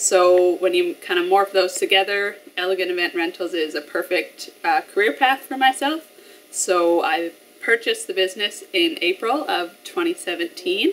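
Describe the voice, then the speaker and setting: Lively intonation marks this woman's speech, delivered at a moderate pace. She has a medium pitch and a Canadian prairie accent. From Canada, rural Alberta (Flagstaff County); Alberta. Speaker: small business owner. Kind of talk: business promotional interview. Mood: friendly, upbeat. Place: shop.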